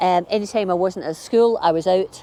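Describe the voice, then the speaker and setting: A Glasgow accent comes through in a dark, mellow tone. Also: woman. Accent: Glasgow Scottish. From Scotland, Glasgow (Maryhill). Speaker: gardening vlogger. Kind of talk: casual chat. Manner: hesitant, many fillers.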